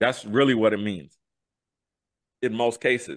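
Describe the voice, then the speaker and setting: Bright and sharp in tone, a man with an American accent sounds animated, the sound dry with no echo and the background quiet. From US urban neighborhoods. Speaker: podcast co-host. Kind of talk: interview answer. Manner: animated, hyped. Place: home room. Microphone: studio mic.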